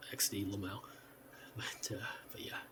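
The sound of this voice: A man whispering at a fairly slow pace.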